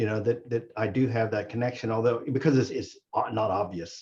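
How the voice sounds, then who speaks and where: A man speaks at a moderate pace and a medium pitch, with ordinary pitch variation. His voice is somewhat breathy. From East Tennessee. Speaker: physician. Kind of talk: discussion. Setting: video call. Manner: halting.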